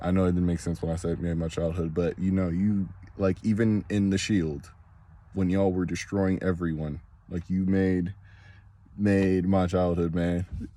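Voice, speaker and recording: A man with a very deep, low voice in a monotone, flat intonation at a moderate pace. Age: 20s. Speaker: wrestling fan vlogger. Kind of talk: casual monologue vlog. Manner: halting, repetitive.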